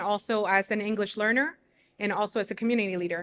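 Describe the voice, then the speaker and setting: In a Spanish accent, a woman speaks with a bright, sharp tone, fairly high pitch and fairly even intonation on a very clean recording with a silent background. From Mexico, moved to US in third grade. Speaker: teacher and community leader. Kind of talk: panel discussion.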